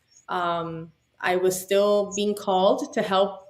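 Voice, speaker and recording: Speaking in a Spanish accent, a woman keeps her voice at a medium pitch. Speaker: boating industry business consultant. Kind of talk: podcast interview.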